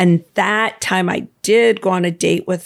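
A woman with an American accent speaks in an ordinary speaking voice at medium pitch, her intonation fairly even. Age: 60s. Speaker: swim instructor. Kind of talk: casual chat.

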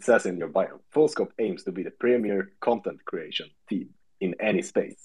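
In a Swedish accent, a man speaks at a moderate pace. His loudness swings widely. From Sweden. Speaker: podcast host. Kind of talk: casual chat. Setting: Twitter space audio call.

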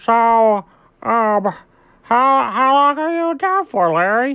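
A woman puts on a nasal character voice at a fairly high pitch, speaking very slowly. The background is quiet.

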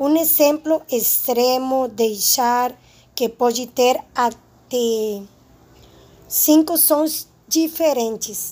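Very slowly and with very even loudness, a woman with a Spanish accent speaks in a high pitch and a dark, mellow tone, her pitch varying in an ordinary way. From Spanish-speaking country. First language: Spanish (speaking Portuguese). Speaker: Portuguese language student. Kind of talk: presentation.

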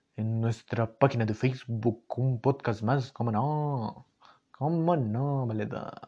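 A somewhat breathy man with a Mexican accent and a dark, mellow tone at a very slow pace. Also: medium pitch for a man, ordinary pitch variation. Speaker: podcast host. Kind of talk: casual monologue. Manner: animated.

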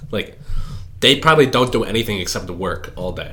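The speaker has an American accent and ordinary pitch variation. The pace is fairly quick. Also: man. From US Midwest. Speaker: computer science student. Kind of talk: casual chat.

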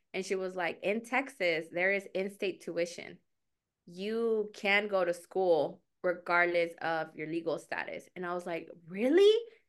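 In a plain, everyday voice, a woman talks at a fairly slow pace with a medium pitch and ordinary pitch variation. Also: quiet background. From Mexico, raised in US. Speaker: career coach. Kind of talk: casual interview.

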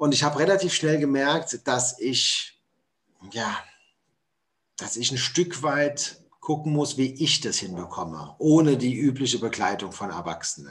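Vocal fry colors a man's fairly high pitch as he speaks at a fairly slow pace with lively intonation and long, frequent pauses. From Hessen, Germany. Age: 40s. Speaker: motivational speaker. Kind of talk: podcast interview.

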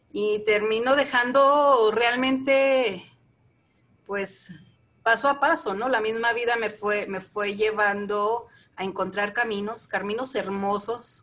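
A fairly high-pitched woman's voice at a very slow pace, with ordinary pitch variation. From northern Mexico, Chihuahua. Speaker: Buddhist practitioner. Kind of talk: interview. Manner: halting, many repetitions.

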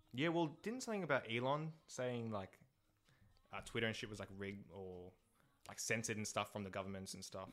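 A man with an Australian accent speaks at a fairly quick pace and medium pitch. His intonation is lively. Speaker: podcast guest. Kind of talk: casual chat.

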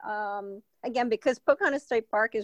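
A woman speaks with a Spanish accent and a high pitch. The sound is dry and close, with no echo. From Spain. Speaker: mountain bike advocate. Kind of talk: casual interview. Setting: remote call.

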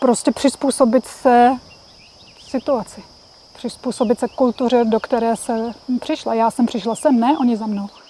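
The speaker moves at a moderate pace with fairly even intonation and long, frequent pauses. The sound is dry and close, with no echo. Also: woman, high pitch for a woman. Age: 50s. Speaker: Czech emigrant in South Africa. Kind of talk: interview.

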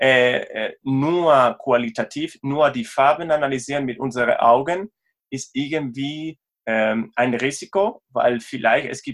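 A man at medium pitch with a Spanish accent and ordinary pitch variation. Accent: Spanish accent, non-native German. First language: Spanish (speaking German). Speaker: sports tech company co-founder, sports scientist. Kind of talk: interview. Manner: halting, hesitant non-native speech.

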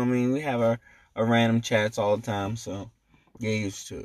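A man has a plain, everyday voice at a medium pitch. He talks at a fairly quick pace. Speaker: podcast host. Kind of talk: casual chat. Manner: crude, joking.

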